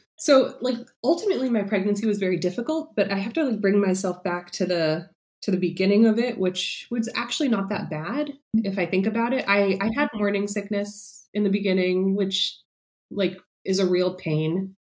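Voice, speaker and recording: Somewhat breathy, a woman with an American accent talks at a medium pitch and a moderate pace, with ordinary pitch variation. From New York City. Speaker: writer and mother of twins. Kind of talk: casual interview, personal story.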